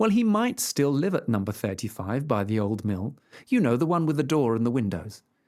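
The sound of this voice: The delivery is simple. It is an unforced reading voice.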